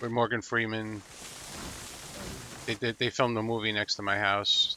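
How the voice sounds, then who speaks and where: A man in a New York accent, medium-pitched and monotone with flat intonation, in a dry, close sound with no echo. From New York City. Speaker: gamer, chat participant. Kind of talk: casual chat.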